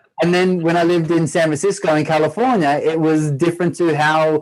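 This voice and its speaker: Man with an Australian accent at a very fast pace. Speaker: former pro footballer turned triathlete. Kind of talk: podcast interview.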